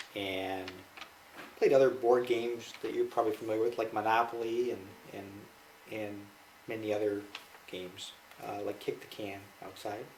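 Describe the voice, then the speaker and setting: With a Midwestern American accent, a man speaks at a moderate pace and medium pitch, with fairly even intonation and long, frequent pauses. His loudness swings a lot, and noticeable background noise is present. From Michigan, US. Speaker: interviewee, father. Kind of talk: family interview.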